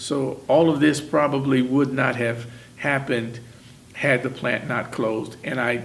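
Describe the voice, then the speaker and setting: In a room with audible echo, a man speaks at medium pitch with an American accent. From Indiana, Muncie. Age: 60s. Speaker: retired factory worker. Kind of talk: oral history interview.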